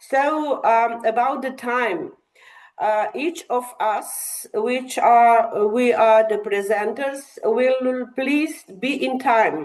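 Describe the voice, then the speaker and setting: Pitch varies in an ordinary way as the voice moves at a very slow pace. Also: woman, high pitch for a woman. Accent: Slovenian. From Slovenia. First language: Slovenian. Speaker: academic session chair. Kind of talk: conference presentation. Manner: halting, many fillers.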